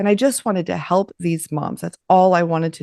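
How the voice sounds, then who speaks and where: A woman with an American accent, a normal speaking voice, fairly low in pitch with ordinary pitch variation, at a fairly quick pace, in a dry, close sound with no echo and a quiet background. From Los Angeles, US West Coast. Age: 50s. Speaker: podcast host and business coach. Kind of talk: interview.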